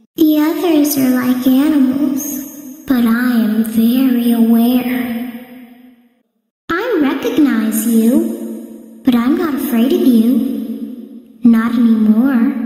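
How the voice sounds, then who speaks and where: A female-sounding, put-on character voice at a high pitch moves at a very slow pace through a strong echo. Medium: video game. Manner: taunting.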